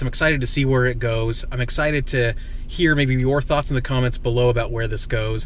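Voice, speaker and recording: Noticeable background noise and audible room echo. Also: man. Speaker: video game commentator. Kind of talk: casual vlog commentary. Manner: animated.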